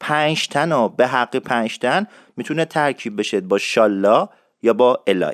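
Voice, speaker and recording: A man at medium pitch with lively intonation, in a very clean, dry, close recording with no echo and a silent background. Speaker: radio show host teaching Isfahani dialect. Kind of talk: tutorial. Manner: fast.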